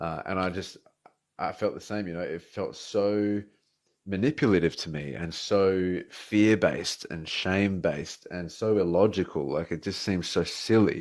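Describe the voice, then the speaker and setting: Against a quiet background, a man in an Australian accent talks at a moderate pace with a very deep, low pitch and ordinary pitch variation. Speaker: atheist debater. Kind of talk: casual chat. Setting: live stream.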